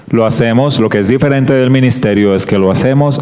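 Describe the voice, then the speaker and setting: A man with a medium-pitched voice speaks in a Colombian coastal accent, with audible room echo and noticeable background noise. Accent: Colombian coastal (costeño). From Colombian Caribbean coast, Barranquilla. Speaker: guest preacher, creation science ministry worker. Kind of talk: sermon / Bible study talk.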